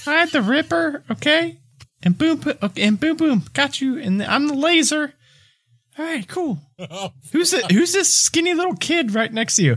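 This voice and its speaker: Putting on a character voice, a man talks at a moderate pace with an extremely high pitch. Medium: actual play. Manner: friendly, easygoing.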